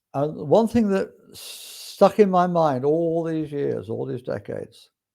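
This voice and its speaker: Speaking in a relaxed tone with an English accent, a man goes at a fairly slow pace with big swings in loudness. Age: 60s. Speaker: spiritual podcast host. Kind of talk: casual monologue. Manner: relaxed, hesitant with fillers.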